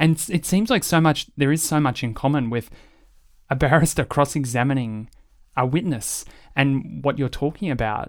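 A man's fairly high voice with an Australian accent on a very clean recording with a silent background. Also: ordinary pitch variation, moderate pace. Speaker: podcast host. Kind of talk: interview. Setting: studio.

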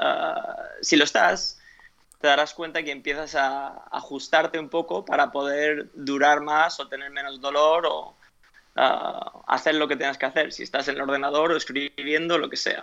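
A man speaks at a fairly slow pace with a fairly high pitch. His tone is bright and sharp, and his intonation fairly even. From Spain (Alicante), after early years in US and Ecuador. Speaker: fitness coach and author. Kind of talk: interview. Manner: halting, with frequent repetitions and fillers.

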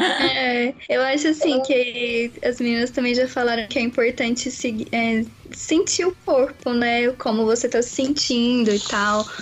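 Noticeable background noise sits behind a woman with a high pitch and ordinary pitch variation. She talks fairly slowly at a very even loudness, with hardly any pauses. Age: 20s. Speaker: pregnant cyclist. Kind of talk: casual chat.

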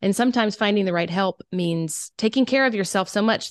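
A woman in a Southern US accent at a fairly quick pace, set against a quiet background. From South Carolina. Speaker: oboist, writer and creative coach. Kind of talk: casual interview.

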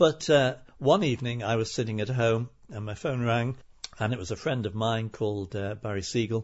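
This man talks at a moderate pace and a medium pitch. His voice is somewhat breathy. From Liverpool, England. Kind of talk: interview.

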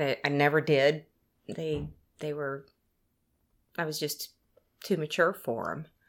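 The speaker talks with an Oklahoma accent at a fairly slow pace, with long, frequent pauses. The intonation is monotone and flat, and the recording is very clean with a silent background. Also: woman, very deep, low pitch for a woman. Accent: Oklahoma Southern US. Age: 50s. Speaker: salesperson. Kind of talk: casual interview. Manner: halting.

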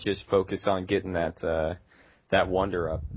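A man talks in an ordinary speaking voice at a moderate speed, his pitch moving in an ordinary way. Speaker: gaming podcast co-host. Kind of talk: casual chat.

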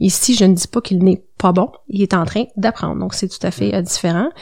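At a fairly quick pace, a woman with a medium pitch and ordinary pitch variation talks in a plain, everyday voice. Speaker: compensation consultant. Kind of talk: interview.

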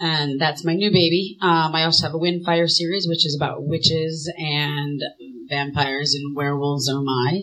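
Noticeable background noise fills the recording. Through it, a woman's very deep, low pitch comes across. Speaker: young adult fantasy author. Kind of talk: convention panel talk. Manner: quieter than usual.

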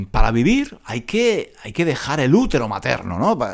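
A normal speaking voice at a moderate pace with lively intonation. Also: man. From Granada, Andalusia, Spain. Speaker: Spanish teacher podcaster. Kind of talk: casual monologue for language learners. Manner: many repetitions and fillers.

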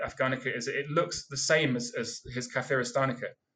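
A man with a British accent, a bright, sharp tone and monotone, flat intonation. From UK. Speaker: seed collector. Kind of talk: casual interview. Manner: halting.

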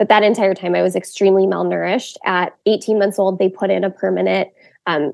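A woman's medium-pitched voice with vocal fry at a fairly quick pace. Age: 20s. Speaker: wedding photographer and blogger. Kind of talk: testimony.

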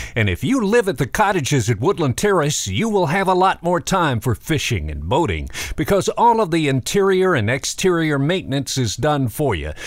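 The tone is upbeat, with very wide pitch swings and hardly any pauses. Noticeable background noise runs underneath. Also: man, fairly high pitch for a man. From Macon, Georgia. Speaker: radio host. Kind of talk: radio DJ patter, warm nostalgic music-history intros between records. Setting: studio. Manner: smooth, upbeat, conversational radio announcer; friendly, unhurried, trivia-laden storytelling.

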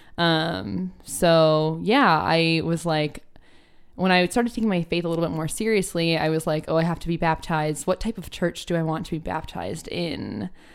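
A woman talks at a moderate pace in a normal speaking voice with a fairly low pitch. Her pitch varies in an ordinary way, and the recording is very clean with a silent background. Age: 20s. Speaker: occupational therapy student. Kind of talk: casual chat.

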